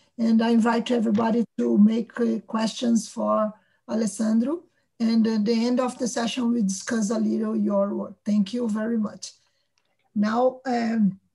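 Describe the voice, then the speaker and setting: A woman's fairly high, somewhat breathy voice with a dark, mellow tone, flat monotone delivery and a very slow pace, over a quiet background. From Brazil. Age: middle-aged. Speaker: event organizer and moderator; moderator. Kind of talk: moderating a conference. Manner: halting. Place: home room. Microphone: video call.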